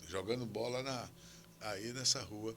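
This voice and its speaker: There is noticeable background noise behind this man speaking. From Brazil, Alagoas (São Miguel dos Campos). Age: 80s+. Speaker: historian and professor. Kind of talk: interview conversation.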